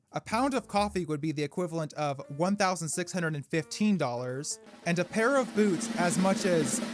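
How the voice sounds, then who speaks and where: With music playing in the background, a man speaks in a high pitch with lively intonation at a moderate pace, hardly pausing. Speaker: comedic history narrator. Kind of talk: comedic history narration. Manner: sarcastic, irreverent.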